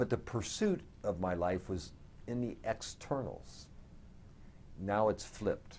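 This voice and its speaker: The speech goes at a fairly slow pace with long, frequent pauses. Its intonation is lively. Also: man, fairly low pitch for a man. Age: 60s. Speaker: spiritual speaker sharing personal recovery. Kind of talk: interview testimony. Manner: halting, with repeated words.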